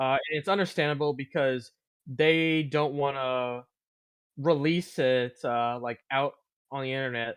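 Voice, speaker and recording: Fairly high for a man, this plain, everyday voice moves at a fairly slow pace with fairly even intonation. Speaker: podcast co-host. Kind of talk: casual podcast talk.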